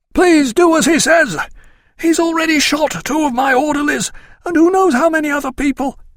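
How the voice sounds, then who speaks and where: In a put-on, whiny character voice, a man speaks at an extremely high pitch and a moderate pace. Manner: whiny, pleading.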